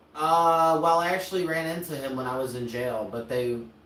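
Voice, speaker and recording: A man talks at a fairly quick pace. Room echo can be heard around his voice. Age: 30s. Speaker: streamer and content creator. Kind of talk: casual chat. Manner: halting, filler-heavy.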